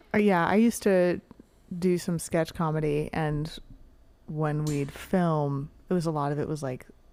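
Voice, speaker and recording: A woman with a Californian accent speaks at a moderate pace in a very deep, low pitch and a dark, mellow tone. Her pitch varies in an ordinary way, and she leaves long, frequent pauses. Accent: Californian American English. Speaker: podcast host. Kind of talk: casual chat.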